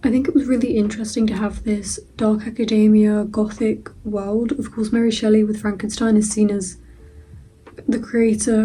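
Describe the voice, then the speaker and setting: In a room with audible echo, a woman speaks at a fairly high pitch in a dark, mellow tone. Her voice is somewhat breathy and her intonation monotone and flat. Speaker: student book vlogger. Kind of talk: casual vlog. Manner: hurried.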